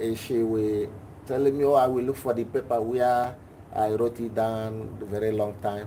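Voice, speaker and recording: At a moderate pace, a man talks in a flat monotone. His pitch sits in the medium range. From Nigeria. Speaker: class participant asking a question. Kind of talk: personal question in a live class.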